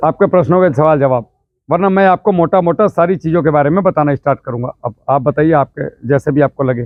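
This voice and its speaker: At a moderate pace and with hardly any pauses, a man speaks in a fairly high pitch with ordinary pitch variation. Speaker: farming trainer, ex-army farmer. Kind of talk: village farmer workshop talk. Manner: loud.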